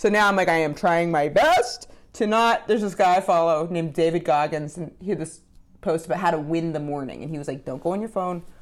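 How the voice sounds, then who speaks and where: A woman with an American accent speaks in a normal speaking voice at a fairly low pitch. Her pace is fairly quick and her pitch varies in an ordinary way. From Maine, US. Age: 30s. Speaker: comedian and podcast co-host. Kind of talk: casual chat.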